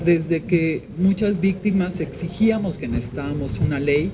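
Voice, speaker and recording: A woman speaks at a fairly slow pace and fairly low pitch with lively intonation. Noticeable background noise and audible room echo fill the recording. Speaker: victims' rights activist. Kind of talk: formal speech at press event. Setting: Senate hall with audience.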